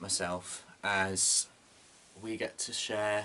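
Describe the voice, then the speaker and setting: A man with a British accent. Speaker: vlogger. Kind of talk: casual monologue vlog. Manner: loud; animated.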